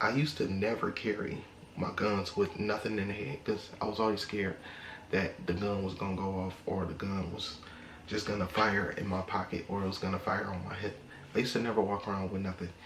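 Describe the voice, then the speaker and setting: Fairly low in pitch with fairly even intonation, a man talks at a fairly quick pace amid audible room echo and noticeable background noise. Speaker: gun vlogger. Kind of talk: casual vlog talk to camera. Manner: monotone.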